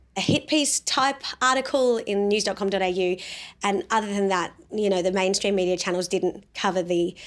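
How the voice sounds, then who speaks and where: Speaking at a moderate pace with an Australian accent, a woman sounds animated, her medium pitch moving with ordinary variation at very even loudness. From South Australia. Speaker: pro-life activist and show host. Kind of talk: political commentary vlog.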